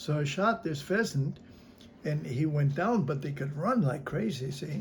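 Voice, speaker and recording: At a moderate pace, a man speaks with a fairly high pitch and a somewhat breathy voice. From North Dakota. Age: 80s+. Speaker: army veteran. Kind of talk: interview answer.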